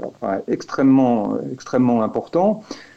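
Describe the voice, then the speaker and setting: Very slow pace from a man, with noticeable background noise. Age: 60s. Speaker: activist filing a legal complaint. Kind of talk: interview. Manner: halting, many fillers and repetitions.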